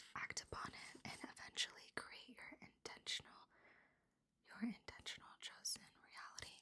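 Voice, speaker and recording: A woman whispering at a moderate pace, with big swings in loudness. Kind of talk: ASMR reading aloud from a self-help book. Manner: whispered, close up, soft.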